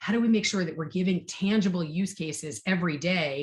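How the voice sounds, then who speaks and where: Somewhat breathy, a woman speaks at a fairly low pitch with ordinary pitch variation. The recording is very clean, with a silent background. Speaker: marketing executive. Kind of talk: fireside chat interview. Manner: fast; animated.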